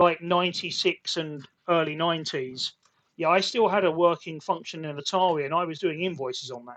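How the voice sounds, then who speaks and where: A man with a British accent, high-pitched, at a fairly quick pace, with ordinary pitch variation and big swings in loudness. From UK. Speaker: podcast host, IT consultant. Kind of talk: casual chat. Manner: halting.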